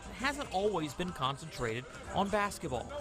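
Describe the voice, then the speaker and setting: The man talks at a moderate pace. His pitch swings very widely amid noticeable background noise. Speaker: sports reporter. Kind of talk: TV news sports package narration.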